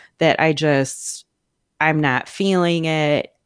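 A woman speaks at a very slow pace with a very deep, low pitch. The sound is dry and close with no echo, and the background is quiet. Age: 40s. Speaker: artist and writer. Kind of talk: casual chat.

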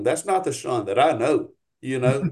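At a moderate pace, a man talks in a fairly high pitch with a Louisiana accent. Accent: US South, Louisiana. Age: 40s. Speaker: paramotor pilot and flight instructor. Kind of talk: casual chat.

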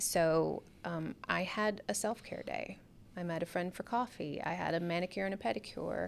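In a very clean recording with a silent background, a woman speaks at a moderate pace. Her fairly low voice has vocal fry and ordinary pitch variation. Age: 40s. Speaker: yoga studio owner. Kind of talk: radio interview. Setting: studio.

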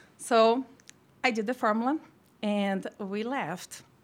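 A woman with a Brazilian accent, fairly high in pitch, at a moderate pace, on a very clean recording with a silent background. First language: Portuguese. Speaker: formulation pharmacist. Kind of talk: casual interview.

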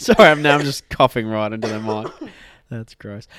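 Ordinary pitch variation and a moderate pace, in an Australian accent. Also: man. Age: young adult, millennial. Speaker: podcast co-host.

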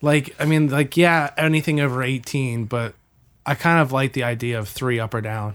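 Recorded very cleanly against a silent background, a man with a plain, everyday voice speaks at a moderate pace and medium pitch, with ordinary pitch variation. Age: 20s. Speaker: college student and audio-video producer. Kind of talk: casual chat.

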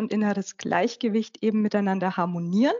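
A woman with an unremarkable speaking voice talks at a fairly high pitch with ordinary pitch variation. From Upper Franconia, northern Bavaria. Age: 40s. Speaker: life coach and author. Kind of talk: interview.

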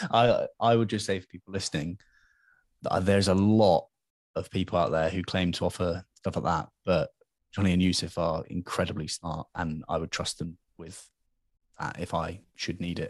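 Very deep, low-pitched, a man speaks with a British accent at a moderate pace and fairly even intonation. The sound is dry and close with no echo, over a quiet background. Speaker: podcast host. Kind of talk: casual interview chat.

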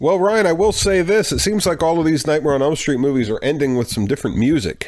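The man speaks very fast with very wide pitch swings. Noticeable background noise is present. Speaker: podcast host. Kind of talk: casual chat.

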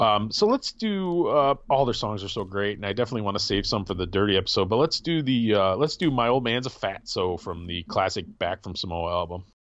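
A man with a plain, everyday voice talks at a fairly quick pace with hardly any pauses, his fairly low pitch carried by lively intonation. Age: 40s. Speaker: podcast host. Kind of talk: casual chat. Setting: video call.

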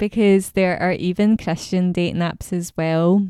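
Dark and mellow in tone, a woman with a Scottish accent speaks in a dry, close sound with no echo on a very clean recording with a silent background. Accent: Scottish accent, noticeable. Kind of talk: solo monologue podcast.

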